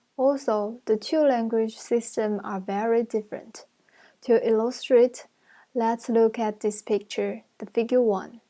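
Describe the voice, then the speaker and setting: A woman with a Chinese accent speaks at a fairly slow pace in a dark, mellow tone and a fairly high pitch. Her intonation is monotone and flat, on a very clean recording with a silent background. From China. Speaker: university student. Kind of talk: class presentation. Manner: halting.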